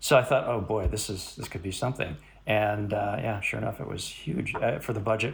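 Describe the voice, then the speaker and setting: A somewhat breathy man with an American accent, medium pitch and a very fast pace. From US Midwest, Chicago. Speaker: cinematographer. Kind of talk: interview.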